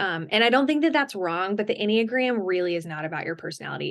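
Against a quiet background, a woman with an American accent uses a normal speaking voice at medium pitch, her intonation lively. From US South. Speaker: author and Enneagram coach. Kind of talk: podcast interview.

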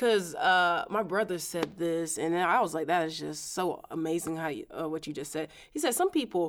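Recorded very cleanly against a silent background, a woman with an American accent has an ordinary speaking voice, a fairly low pitch, ordinary pitch variation and a moderate pace. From Florida (Winter Haven), Haitian parents. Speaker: high school math teacher. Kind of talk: casual chat.

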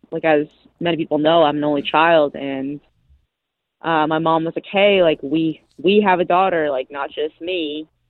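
A woman with an American accent speaks at a moderate pace in a fairly low pitch, a plain, everyday voice. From US Northeast, Massachusetts. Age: 20s. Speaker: professional golfer. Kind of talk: casual interview.

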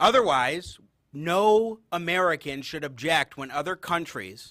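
With a high pitch, lively intonation and a bright, sharp tone, a man speaks in a very clean recording with a silent background. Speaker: radio host. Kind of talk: talk radio show.

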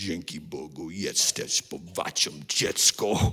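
A man puts on a character voice that is gravelly and very deep, speaking at a fairly slow pace. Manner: whispering.

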